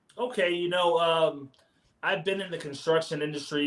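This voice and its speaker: A man speaks at a very fast pace in an American accent. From New Jersey. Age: 40s. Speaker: business owner. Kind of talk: interview. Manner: casual.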